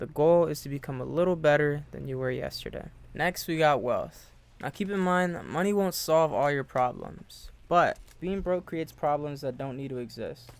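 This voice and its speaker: A man with a plain, everyday voice speaks at a fairly high pitch and moderate pace with ordinary pitch variation, in a very clean recording with a silent background. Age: 20s. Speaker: self-improvement content creator. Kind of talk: motivational talk to camera.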